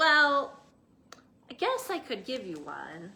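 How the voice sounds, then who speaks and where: A woman does a put-on character voice that is gruff and high-pitched. She speaks at a fairly slow pace. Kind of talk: bedtime story. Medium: read story. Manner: gruff, short-tempered.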